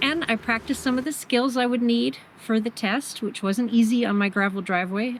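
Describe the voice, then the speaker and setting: Lively intonation from a woman over noticeable background noise. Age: 50s. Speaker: beginner motorcycle rider and hiker. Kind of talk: vlog narration to camera.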